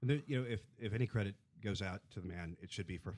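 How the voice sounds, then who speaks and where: A man talks. The recording is very clean, with total silence behind him. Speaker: film blogger. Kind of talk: casual film discussion. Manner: radio-announcer style delivery.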